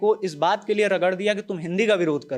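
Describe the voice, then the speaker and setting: Using ordinary pitch variation, a man talks with a high voice. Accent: Bihari. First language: Bhojpuri (speaking Hindi). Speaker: journalist on a news panel show. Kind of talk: panel discussion. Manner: animated.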